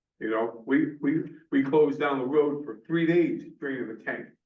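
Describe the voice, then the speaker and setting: Audible room echo carries a man's fairly high voice with an American accent, delivered at a moderate pace with ordinary pitch variation. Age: 70s. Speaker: planning commission member and firefighter. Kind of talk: public meeting discussion. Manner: halting.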